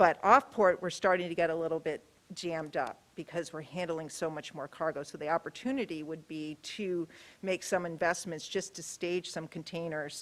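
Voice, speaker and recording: A woman with an American accent speaks at a fairly low pitch with ordinary pitch variation and big swings in loudness, in a very clean recording with a silent background. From New York. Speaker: port executive. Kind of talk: public presentation and Q&A. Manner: fast.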